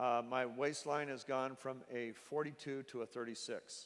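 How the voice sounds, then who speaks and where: A man talks at a fairly slow pace. His pitch is medium. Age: 60s. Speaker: company founder presenting a product. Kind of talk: sales presentation. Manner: halting, many fillers.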